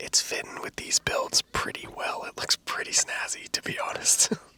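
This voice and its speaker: With noticeable background noise behind it, the whispering moves at a fairly quick pace. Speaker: gaming youtuber. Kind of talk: ASMR gameplay commentary. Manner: soft, relaxing.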